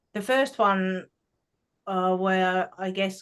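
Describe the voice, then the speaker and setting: Speaking at a medium pitch, a woman talks with a Finnish accent. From Finland. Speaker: spiritual show co-host. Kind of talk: casual spiritual conversation. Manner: halting, many fillers.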